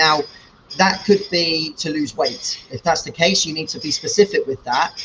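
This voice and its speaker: Against noticeable background noise, a man with a British accent speaks at a moderate pace, with a fairly high pitch and ordinary pitch variation. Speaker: fitness coach. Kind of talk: casual talk to camera. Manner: loud.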